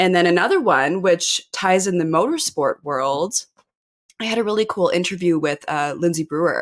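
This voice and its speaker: Speaking at a moderate pace, a woman with a fairly low pitch has an ordinary speaking voice. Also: lively intonation. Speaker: podcast host. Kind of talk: casual chat. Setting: video call.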